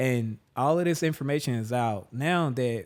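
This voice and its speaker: Lively intonation from a man with a Southern US accent, medium-pitched, at a fairly slow pace, on a very clean recording with a silent background. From Jackson, Mississippi. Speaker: musician and performer. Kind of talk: interview answer. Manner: casual, reflective.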